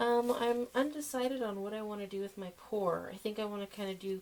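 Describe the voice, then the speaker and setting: A woman talks at a moderate pace with ordinary pitch variation while noticeable background noise carries on. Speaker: soap maker. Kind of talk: tutorial. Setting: home workshop at night. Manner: loud; casual, filler-heavy.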